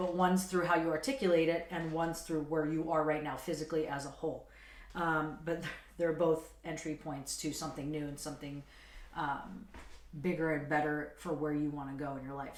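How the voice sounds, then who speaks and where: A raspy, put-on character voice at a middle pitch and fairly quick pace, with slight echo. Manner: talking fast.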